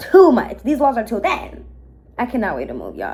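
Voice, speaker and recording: A woman speaks in an animated tone with lively intonation over noticeable background noise. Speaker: mukbang vlogger. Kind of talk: storytime while eating. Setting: apartment with thin walls. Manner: loud.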